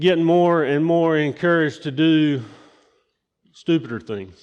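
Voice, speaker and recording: The speaker is a man with a Southern US accent. His pitch sits fairly high. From US South, rural eastern North Carolina. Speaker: lay preacher. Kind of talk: sermon. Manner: casual, halting with many fillers.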